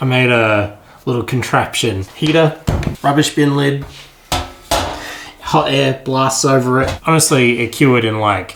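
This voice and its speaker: A man at medium pitch and a fairly slow pace, over noticeable background noise. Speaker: miniature hobbyist YouTuber. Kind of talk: casual tutorial-style hobby vlog. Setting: at home, late at night. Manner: quiet, trying not to be loud.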